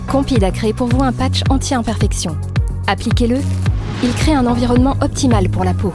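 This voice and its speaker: With music in the background, a woman talks at a moderate pace and very even loudness, leaving long, frequent pauses. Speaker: voice actor. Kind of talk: TV and radio commercial read, upbeat.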